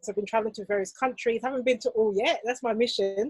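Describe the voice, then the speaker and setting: A woman's fairly high voice with ordinary pitch variation, in a dry, close sound with no echo. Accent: British. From England, UK. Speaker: fashion business coach. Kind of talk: casual chat.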